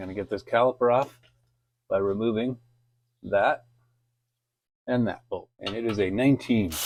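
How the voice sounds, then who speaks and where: A man's voice at a moderate pace with fairly even intonation, big swings in loudness and long, frequent pauses, on a very clean recording with a silent background. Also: medium pitch for a man. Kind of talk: DIY repair tutorial narration. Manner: casual.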